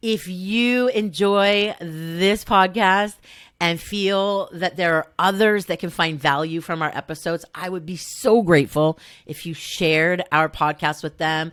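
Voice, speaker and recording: A speaker with a Southern California accent talks at a fairly slow pace with ordinary pitch variation. The recording is very clean, with a silent background. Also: woman, fairly low pitch for a woman. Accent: faint Valley Girl (Southern California). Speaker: podcast host, salon business coach. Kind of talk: podcast monologue. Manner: warm, informal.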